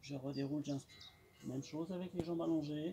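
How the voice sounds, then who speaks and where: A man talks over loud background noise. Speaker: fitness instructor. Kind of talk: exercise tutorial instructions. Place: garden. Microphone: camera far.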